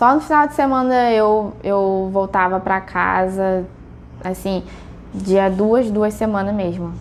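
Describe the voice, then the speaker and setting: Noticeable background noise behind a woman at a medium pitch, very slow in pace, with ordinary pitch variation. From China. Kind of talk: interview testimony.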